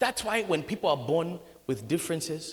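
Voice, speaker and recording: A man's fairly high voice with vocal fry, lively intonation and a moderate pace. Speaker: pastor. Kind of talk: sermon.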